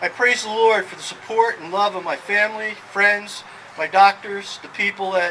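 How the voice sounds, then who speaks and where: A man's fairly even delivery at a moderate pace amid noticeable background noise. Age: 60s. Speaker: person living with Alzheimer's. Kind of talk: prepared speech. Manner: halting.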